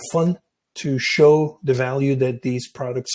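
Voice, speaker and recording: At a fairly slow pace, a man talks in a somewhat breathy voice of medium pitch with fairly even intonation, the sound dry and close with no echo. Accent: Belgian. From Belgium. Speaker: software solutions specialist. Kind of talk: webinar presentation. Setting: online webinar.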